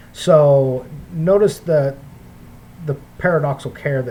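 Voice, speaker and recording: Over noticeable background noise, a man with a fairly high pitch and ordinary pitch variation speaks at a very slow pace. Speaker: bible teacher. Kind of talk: bible study lecture. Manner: hesitant, many fillers.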